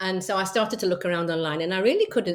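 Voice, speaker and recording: A woman with an English accent talks at a medium pitch and a fairly quick pace. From England. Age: 60s. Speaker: travel group founder. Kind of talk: interview. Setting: podcast interview. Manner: hesitant, many fillers.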